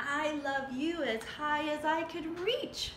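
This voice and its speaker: Put-on character voice at a fairly slow pace, over clear background noise. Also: woman. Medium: read story. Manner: eager, earnest.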